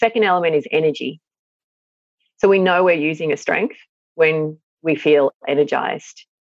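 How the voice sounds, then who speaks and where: At a moderate pace with long, frequent pauses, a woman speaks in an Australian accent at fairly low pitch with ordinary pitch variation. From regional Victoria, Australia. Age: 40s. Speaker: psychologist and parenting author. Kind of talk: interview.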